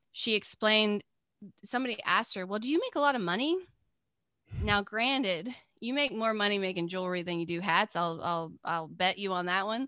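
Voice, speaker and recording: A woman speaks at a fairly quick pace with an Appalachian accent, her medium-pitched voice bright and sharp with lively intonation and long, frequent pauses, in a dry, close recording that is very clean with a silent background and no echo. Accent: Southern Appalachian American. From US South, mountains of North Carolina. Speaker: artist and teacher. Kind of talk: casual interview.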